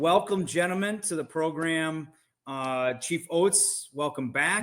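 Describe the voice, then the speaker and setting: A man talks at a fairly slow pace in a plain, everyday voice. His pitch is fairly high, with ordinary variation. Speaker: podcast host. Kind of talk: podcast interview.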